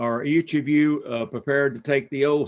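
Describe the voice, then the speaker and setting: A man speaks with a Kentucky accent. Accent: Kentucky Southern. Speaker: state supreme court justice. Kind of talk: swearing-in ceremony remarks. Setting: city council meeting, live streamed. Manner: slow.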